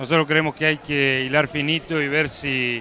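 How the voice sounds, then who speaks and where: A man speaks in a monotone, flat way. The sound is dry with no echo, with light background noise. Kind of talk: interview answer. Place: meeting room. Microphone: handheld.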